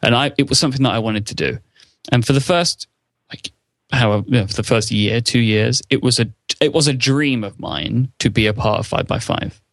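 Pitched at a medium level, a man talks at a moderate pace with ordinary pitch variation. His is an unremarkable speaking voice. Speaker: podcaster. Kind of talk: casual interview chat.

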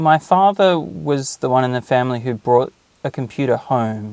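A man's medium-pitched voice with an Australian accent, fairly slow with very wide pitch swings, dry and close with no echo on a very clean recording with a silent background. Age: 40s. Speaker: podcast listener and tool builder. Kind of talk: interview.

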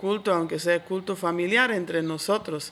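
On a very clean recording over a silent background, a woman with a medium pitch and a bright, sharp tone speaks at a fairly slow pace with ordinary pitch variation. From Switzerland. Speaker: church worker and teacher. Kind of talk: interview.

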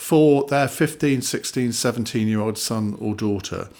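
Here is a man talking. He has an English accent. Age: 50s. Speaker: author and broadcaster. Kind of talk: interview.

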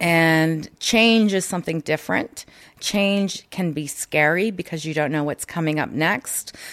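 At a fairly slow pace, a woman with a fairly low pitch speaks on a very clean recording with a silent background. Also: ordinary pitch variation. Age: young. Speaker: wellness and burnout coach. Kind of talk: casual interview. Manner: hesitant with fillers.

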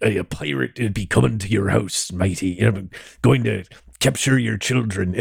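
A man's put-on character voice with a very deep, low pitch. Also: moderate pace. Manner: menacing, playful.

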